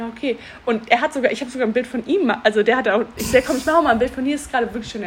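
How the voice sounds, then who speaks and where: A woman with a high voice talks very fast over noticeable background noise. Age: 30s. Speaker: podcast co-host. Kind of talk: casual chat. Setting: in person at co-host's home.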